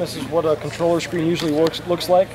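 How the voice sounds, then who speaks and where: Noticeable noise sits behind a man whose pitch is high. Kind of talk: interview answer. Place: hall. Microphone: phone near.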